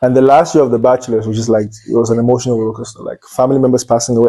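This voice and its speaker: In a Cameroonian accent, a man talks very fast at medium pitch, his intonation monotone and flat and his tone dark and mellow. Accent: Nigerian-sounding Cameroonian English. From Anglophone Cameroon, near Nigeria. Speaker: medical student. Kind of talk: interview.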